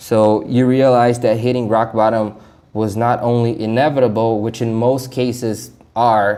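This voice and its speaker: With a non-native accent, a man talks at a moderate pace in a medium pitch, his tone dark and mellow and his intonation monotone and flat. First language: not English. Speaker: self-help vlogger. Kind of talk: casual vlog commentary. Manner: stuttering, halting; casual, talkative.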